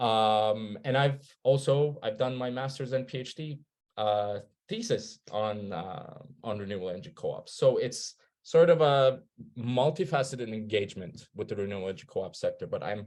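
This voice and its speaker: A man speaks in a Turkish accent at medium pitch. His pace is moderate and his pitch variation ordinary. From Turkey. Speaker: researcher. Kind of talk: presentation. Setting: webinar.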